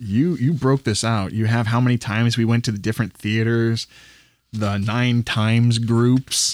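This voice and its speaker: Heard as an ordinary speaking voice at a moderate pace, the speech has fairly even intonation and very even loudness, captured in a very clean recording with a silent background and a dry, close sound with no echo. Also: man, medium pitch for a man. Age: 40s. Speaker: movie podcast co-host. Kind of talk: casual chat.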